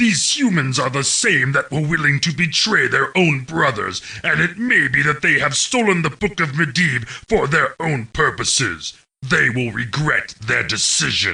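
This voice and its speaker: Putting on a character voice, a man talks at a moderate pace with a fairly high pitch. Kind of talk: video game mission briefing narration.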